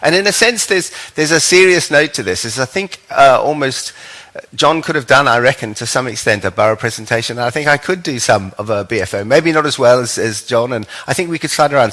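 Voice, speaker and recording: Talking very fast, a man with a medium-pitched voice uses lively intonation and a bright, sharp tone. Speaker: lecturer presenting an ontology to a summer school. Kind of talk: lecture. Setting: stage with audience. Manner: hesitant, many fillers.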